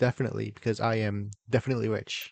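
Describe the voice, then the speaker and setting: The speech moves at a moderate pace against a quiet background. The sound is dry and close, with no echo. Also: man. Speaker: gaming YouTuber. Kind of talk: casual gameplay commentary. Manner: animated.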